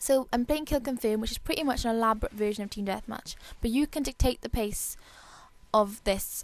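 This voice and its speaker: A woman with a fairly high pitch speaks at a fairly quick pace, her intonation fairly even. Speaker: gamer. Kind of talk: gameplay commentary tutorial. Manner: fast, rushed.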